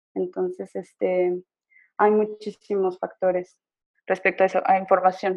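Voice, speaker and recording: A woman's medium-pitched voice in a monotone, flat intonation at a fairly slow pace. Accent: Mexican. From Mexico, San Luis Potosí. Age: 20s. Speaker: photographer and blogger. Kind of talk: casual interview.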